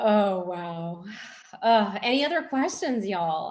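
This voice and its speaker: A woman with a Texas accent and lively intonation. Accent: Texas twang. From Texas (moved from Pennsylvania at nine). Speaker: fiction author. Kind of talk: casual Q&A at book launch.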